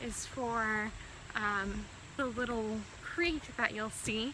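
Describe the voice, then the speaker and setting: Audible room echo surrounds a woman's fairly high voice, which keeps a fairly even intonation. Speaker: medical student and cancer patient vlogger. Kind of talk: casual vlog while walking. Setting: outdoors, hiking by a creek. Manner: halting, faltering speech; slow, with many pauses.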